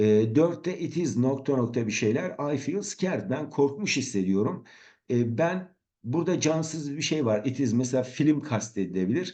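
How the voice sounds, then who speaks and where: Over a quiet background, a man with a fairly high pitch speaks in a dark, mellow tone with lively intonation. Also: moderate pace. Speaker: English teacher. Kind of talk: tutorial. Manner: halting.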